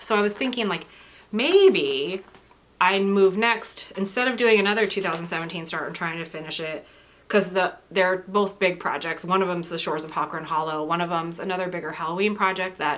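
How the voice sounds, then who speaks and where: The speech races along very fast, with fairly even intonation and big swings in loudness. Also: woman. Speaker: crafting vlogger. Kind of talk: casual chat. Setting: indoors at home.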